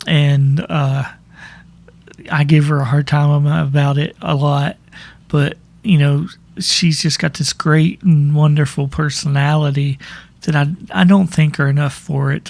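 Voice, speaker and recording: A man speaks in a somewhat breathy voice with fairly even intonation. He leaves long, frequent pauses. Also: fairly high pitch for a man, fairly slow pace. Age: 40s. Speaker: podcast host. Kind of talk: personal monologue. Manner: halting.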